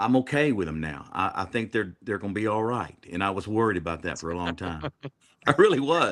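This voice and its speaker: With an American accent and an unremarkable speaking voice, a man talks fairly quickly at a fairly low pitch, his intonation lively. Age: 60s. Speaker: country singer. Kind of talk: casual chat.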